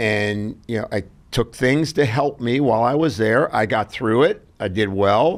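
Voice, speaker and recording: A man with an ordinary speaking voice talks at a fairly slow pace, his pitch medium and its variation ordinary. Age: 60s. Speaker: health expert guest. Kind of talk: interview. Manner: conversational.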